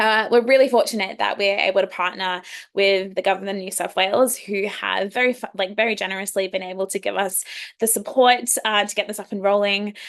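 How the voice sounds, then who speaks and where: A woman at medium pitch with an Australian accent and a fairly quick pace. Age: 20s. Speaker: youth leadership program founder and facilitator. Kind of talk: online workshop presentation. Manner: fast when excited.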